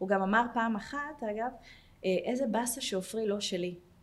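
At a fairly slow pace, a woman speaks in a fairly high pitch with a somewhat breathy voice and ordinary pitch variation. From Jerusalem, Israel. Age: 40s. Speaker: welfare manager at a tech company. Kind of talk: personal testimony.

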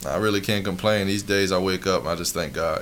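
There is noticeable background noise behind a man speaking in a calm tone. He has a fairly low pitch, a moderate pace, and fairly even intonation. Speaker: podcast co-host. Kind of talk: casual.

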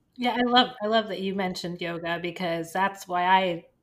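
This woman has a normal speaking voice at a medium pitch. Her intonation stays fairly even at a moderate pace. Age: 40s. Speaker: podcast co-host. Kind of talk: casual chat.

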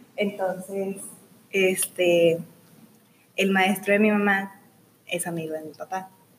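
A woman speaks very slowly in a medium-pitched voice with monotone, flat intonation. Her loudness swings widely, and she leaves long, frequent pauses. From Mexico, Ciudad Juárez, Chihuahua. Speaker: student. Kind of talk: casual interview. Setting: studio.

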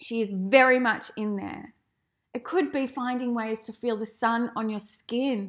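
A woman speaks at a fairly slow pace in a fairly high pitch with ordinary variation. The recording is very clean, with a silent background. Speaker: podcast host. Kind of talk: casual solo monologue. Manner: animated.

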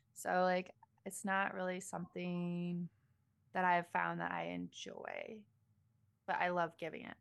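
A woman at a fairly slow pace with long, frequent pauses, in a very clean recording over a silent background. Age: 30s. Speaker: adult content creator. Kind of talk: casual interview.

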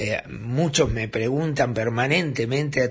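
A man talks at a fairly slow pace with a medium pitch. The room echo is audible and background noise is noticeable. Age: 60s. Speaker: radio host and journalist. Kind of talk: casual radio monologue. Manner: animated.

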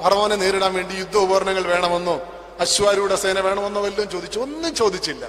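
A high-pitched man speaks over noticeable background noise. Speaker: preacher. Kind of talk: sermon.

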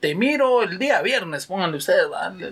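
Noticeable background noise is present. A man speaks at a moderate pace over it. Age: 30s. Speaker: security guard and father. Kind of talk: casual interview.

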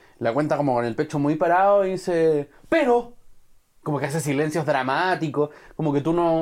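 A man with an unremarkable speaking voice and a fairly high pitch keeps a moderate pace. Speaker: film podcast host. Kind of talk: casual chat.

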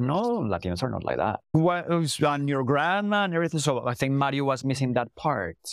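Lively intonation marks this man's speech in a Spanish accent. He talks at a fairly quick pace. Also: very clean recording, silent background. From Colombia. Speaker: CEO and language educator. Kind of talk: casual interview conversation.

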